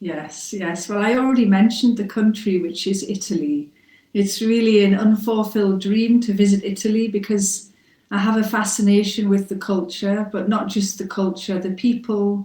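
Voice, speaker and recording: A woman's somewhat breathy voice with a dark, mellow tone, a medium pitch and fairly even intonation. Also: moderate pace. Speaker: English teacher. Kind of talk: mock speaking test answer. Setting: internet call.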